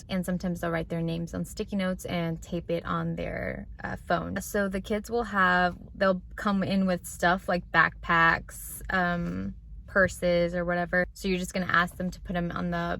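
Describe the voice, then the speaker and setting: A woman keeps up a moderate pace. Pauses are barely there. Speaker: teacher. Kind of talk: vlog tutorial. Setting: school classroom.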